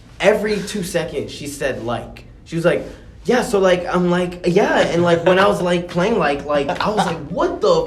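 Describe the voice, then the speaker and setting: Over noticeable background noise and with audible room echo, a man with a high voice talks at a fairly slow pace with ordinary pitch variation. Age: 20s. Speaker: rapper and journalist. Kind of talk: podcast interview. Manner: casual.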